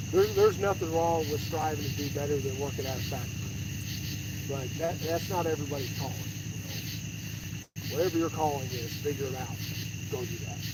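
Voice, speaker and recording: A man with an American accent at a moderate pace, amid audible room echo and noticeable background noise. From Kentucky. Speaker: fishing vlogger and steel mill worker. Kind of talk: casual livestream chat while fishing. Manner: halting, many repeated words.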